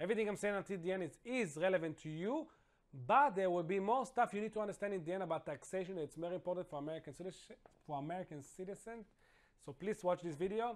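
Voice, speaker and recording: A high-pitched man with an Israeli accent talks at a very fast pace with ordinary pitch variation. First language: Hebrew. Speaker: financial consultant. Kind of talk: tutorial. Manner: casual, slightly halting non-native delivery.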